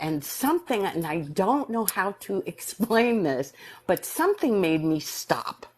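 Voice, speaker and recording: In a New York accent, a woman speaks at a fairly slow pace with very wide pitch swings. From US Northeast, New York City. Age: 60s. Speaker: near-death experiencer. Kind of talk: personal testimony in live stream interview.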